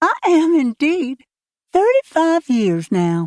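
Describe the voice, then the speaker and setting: Doing a squeaky put-on character voice at an extremely high pitch, a woman speaks very slowly in a cheerful tone with very wide pitch swings, the sound dry and close with no echo. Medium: read story. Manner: cheerful, bright.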